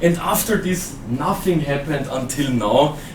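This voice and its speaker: In an Austrian accent, a man with a fairly high pitch speaks at a moderate pace amid noticeable background noise and audible room echo. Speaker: software trainer and conference speaker. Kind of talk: conference talk. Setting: stage with audience.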